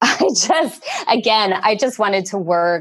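At a fairly slow pace, a woman speaks in a plain, everyday voice of medium pitch with lively intonation. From northern New Jersey, US. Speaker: documentary producer. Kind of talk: interview. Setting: remote call.

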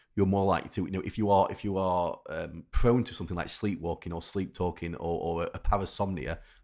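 In a Yorkshire accent, a man speaks at a very fast pace with a very deep, low pitch. His intonation is fairly even, and the recording is very clean with a silent background. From Rotherham, South Yorkshire, England. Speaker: sleep expert. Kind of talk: interview. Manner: halting, many repetitions.

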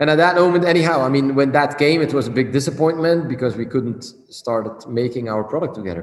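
The speech moves at a fairly quick pace with ordinary pitch variation, against noticeable background noise. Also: man. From Belgium. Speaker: cigar company owner. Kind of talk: interview. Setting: video call. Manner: halting.

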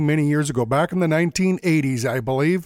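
A man with a fairly high pitch speaks at a moderate pace in a relaxed tone. The recording is very clean with a silent background and a dry, close sound with no echo. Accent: western Canadian. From Alberta, Canada. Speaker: fiddle player and podcast host. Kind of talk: casual solo podcast monologue. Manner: relaxed, with frequent fillers.

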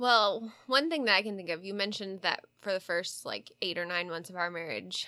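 A woman at a medium pitch, with a bright, sharp tone, a fairly quick pace and ordinary pitch variation. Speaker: pastor's wife. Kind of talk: casual chat. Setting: studio. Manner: soft-spoken.

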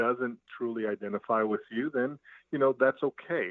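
With an American accent, a man speaks in an unremarkable speaking voice at a medium pitch and a moderate pace. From Brooklyn, New York. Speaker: business owner and coach. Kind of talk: interview conversation.

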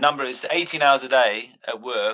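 Speaking at a fairly slow pace, the man has a British accent. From Britain. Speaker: strength and conditioning coach. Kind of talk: casual chat.

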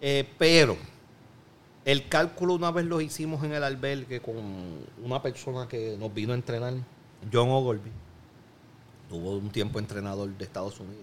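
Speaking at a moderate pace with lively intonation, a man with a medium-pitched voice leaves long, frequent pauses. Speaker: Olympic skeet shooter. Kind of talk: casual chat.

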